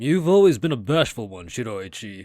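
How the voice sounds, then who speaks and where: Using a put-on character voice, a man talks at a moderate pace at a medium pitch, with very wide pitch swings. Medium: read story. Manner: serene, soothing.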